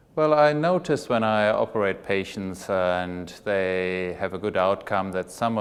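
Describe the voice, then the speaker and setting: This man's pitch is very deep and low. He speaks with a German accent. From Germany. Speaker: plastic surgeon. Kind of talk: interview.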